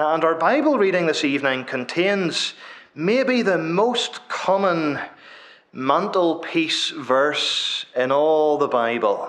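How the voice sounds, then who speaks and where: A man speaks against a quiet background. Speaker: preacher. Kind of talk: sermon. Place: church. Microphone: podium.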